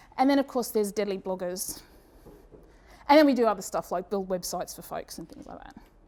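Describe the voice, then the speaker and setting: A woman with an Australian accent at medium pitch, very fast yet with long, frequent pauses, her dark, mellow voice lively in intonation and swinging widely in loudness. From Australia, Brisbane. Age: 40s. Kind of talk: conference presentation. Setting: stage with audience. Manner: casual, with many fillers and restarts.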